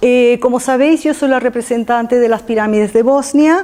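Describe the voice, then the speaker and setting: There is noticeable background noise as a woman with a non-native accent talks at a moderate pace. Her high pitch moves with lively intonation. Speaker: lecturer on archaeology mysteries. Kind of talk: public talk. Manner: halting, with fillers and repetitions.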